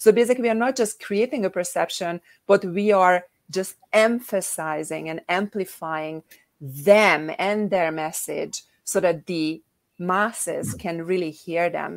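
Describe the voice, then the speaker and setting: Ordinary pitch variation marks a woman's medium-pitched voice. She speaks fairly slowly with a European accent. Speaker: co-author and publisher. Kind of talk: panel discussion at online book launch.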